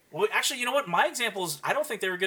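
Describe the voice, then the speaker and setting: Background noise is noticeable throughout. The voice belongs to a man. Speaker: podcast co-host. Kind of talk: casual chat.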